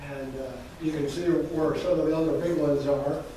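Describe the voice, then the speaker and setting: Strong room echo over light background noise. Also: man. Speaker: presenter. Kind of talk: lecture. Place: hall. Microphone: camera far.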